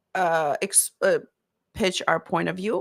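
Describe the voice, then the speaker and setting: A woman's bright, sharp voice at medium pitch with a non-native accent, ordinary pitch variation, and a very clean recording with a silent background. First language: not English. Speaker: marketing consultant for therapists. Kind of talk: live Q&A style talk to camera. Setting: live stream on camera. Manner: halting, many fillers and self-corrections.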